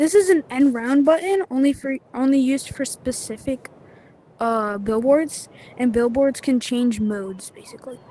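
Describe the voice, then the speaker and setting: A woman talks in a high pitch while noticeable background noise carries behind her. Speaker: gaming tutorial youtuber. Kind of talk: tutorial. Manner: halting, many fillers.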